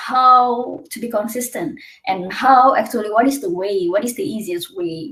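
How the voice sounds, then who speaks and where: A woman with an Indonesian accent, lively intonation and a somewhat breathy voice. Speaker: PhD student. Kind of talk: webinar presentation.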